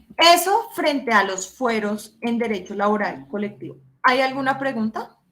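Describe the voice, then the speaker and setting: Speaking at a fairly slow pace, a woman with fairly high pitch uses a bright, sharp, animated tone and lively intonation. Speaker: law professor. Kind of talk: lecture.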